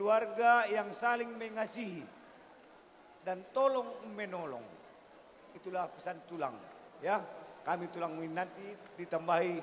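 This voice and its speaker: The man's delivery is fairly slow. Lively intonation colors his words. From Batak village, North Sumatra. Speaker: bride's uncle giving wedding speech. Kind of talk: ceremonial speech.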